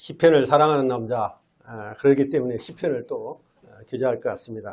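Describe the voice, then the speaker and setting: An unremarkable speaking voice at a moderate pace, fairly even in intonation but with big swings in loudness. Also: man, medium pitch for a man. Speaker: lay preacher. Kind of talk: sermon. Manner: frequent filler sounds.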